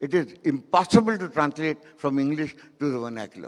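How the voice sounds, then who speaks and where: The pace is fairly slow as a man speaks. His intonation is lively. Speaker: filmmaker and keynote speaker. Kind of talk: keynote talk.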